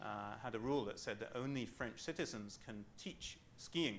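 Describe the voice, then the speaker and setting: There is audible room echo as a man with a British accent speaks at medium pitch with vocal fry, ordinary pitch variation and a fairly slow pace. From Britain. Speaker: management consultant. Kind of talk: lecture. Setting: training program session. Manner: halting, many fillers.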